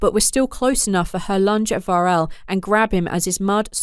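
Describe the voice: Simple, plain reading aloud.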